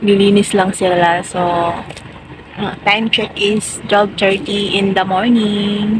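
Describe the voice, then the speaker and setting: Over noticeable background noise, a woman speaks at medium pitch, very slowly, in a monotone, flat intonation. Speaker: vlogger. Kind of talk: casual vlog. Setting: late night at home, then at ferry pier; at the pier. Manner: quiet, speaking softly.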